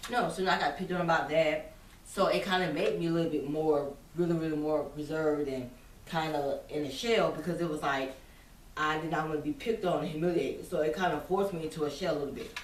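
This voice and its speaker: A woman with a very deep, low pitch talks at a very fast pace, with audible room echo around her. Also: ordinary pitch variation. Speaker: vlogger. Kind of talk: casual monologue. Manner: halting.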